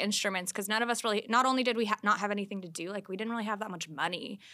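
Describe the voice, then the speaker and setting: A bright, sharp tone with an American accent and ordinary pitch variation comes through in a very clean recording with a silent background. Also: woman. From US Colorado. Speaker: guest. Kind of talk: casual chat about music.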